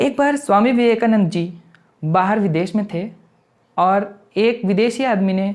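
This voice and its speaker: The man's voice sits high in pitch and moves through an ordinary range. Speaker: YouTuber. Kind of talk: motivational talk to camera.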